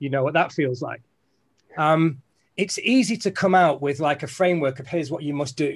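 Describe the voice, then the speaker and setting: Over a quiet background, a man with a Mancunian accent talks at a fairly quick pace. His fairly high voice is somewhat breathy, with ordinary pitch variation. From Manchester, England. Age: 40s. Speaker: business leader and keynote speaker. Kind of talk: keynote talk. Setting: video call.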